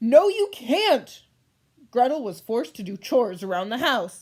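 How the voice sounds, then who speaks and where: On a very clean recording with a silent background, a woman speaks at a moderate pace, her high pitch making very wide swings. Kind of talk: read-aloud story narration. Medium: read story. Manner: exasperated.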